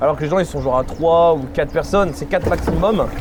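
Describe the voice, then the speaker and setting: Over noticeable background noise, a man talks at a fairly quick pace in a high pitch, with ordinary pitch variation. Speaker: theme park vlogger. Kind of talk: casual vlog commentary. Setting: outdoors at theme park. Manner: fast.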